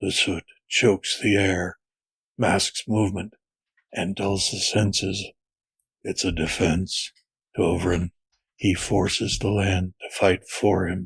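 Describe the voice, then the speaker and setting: In a put-on character voice, a man speaks raspy and very deep, with a monotone, flat intonation, a fairly slow pace and long, frequent pauses. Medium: read story. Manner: terse, grim.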